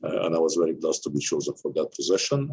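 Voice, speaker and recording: A man with an Arabic accent. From Egypt. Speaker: university president. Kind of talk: interview. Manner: halting, many fillers.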